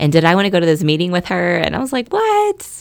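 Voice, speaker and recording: Spoken at a moderate pace with an American accent, this is a normal speaking voice. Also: woman. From North Texas (Keller, near Fort Worth). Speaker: trafficking survivor and advocate. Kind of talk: testimony.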